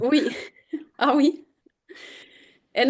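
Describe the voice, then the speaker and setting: In a German accent, a woman speaks at a moderate pace with fairly even intonation against a quiet background. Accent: German-speaking accent in French. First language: German (speaking French). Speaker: edtech program manager. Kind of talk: webinar presentation. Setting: video call.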